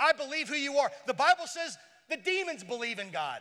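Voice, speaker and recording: A man with extremely high pitch uses a raised, projected voice and an animated tone. His intonation is lively and his pace is moderate. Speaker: pastor. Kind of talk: sermon.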